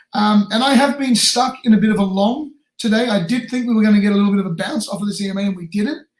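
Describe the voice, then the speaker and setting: A man with an Australian accent, high-pitched, at a very fast pace and with ordinary pitch variation. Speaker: crypto trading streamer. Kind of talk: live stream chart analysis. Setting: live stream. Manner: casual, filler-heavy.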